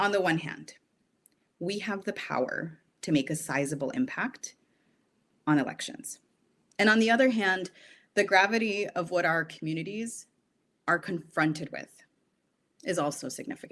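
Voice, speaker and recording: A woman at a medium pitch with lively intonation, a moderate pace and long, frequent pauses. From US Midwest, southeastern Wisconsin. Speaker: podcast host. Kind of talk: scripted podcast intro. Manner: formal.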